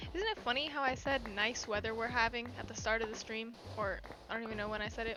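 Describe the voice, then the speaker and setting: Over noticeable background noise, a woman talks very fast in a fairly high pitch. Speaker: Twitch streamer. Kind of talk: casual gaming livestream chat. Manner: monotone; calm, low-energy.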